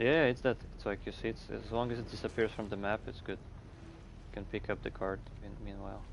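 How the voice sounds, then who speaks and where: At a fairly quick pace, a man talks with vocal fry, fairly even intonation and fairly low pitch. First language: Russian. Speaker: gaming streamer. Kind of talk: live gameplay chat. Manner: halting.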